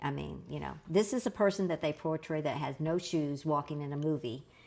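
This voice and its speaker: In a Southern US accent, a woman with a very deep, low voice talks at a fairly quick pace with ordinary pitch variation. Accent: Southern American. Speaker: author and family historian. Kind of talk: interview answer.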